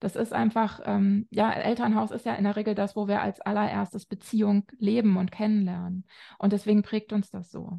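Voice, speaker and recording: A woman's dark, mellow, somewhat breathy voice at medium pitch, monotone and flat, with a dry, close sound with no echo and a quiet background. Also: moderate pace. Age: 40s. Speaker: family counselor and author. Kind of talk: interview. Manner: hesitant, many filler sounds.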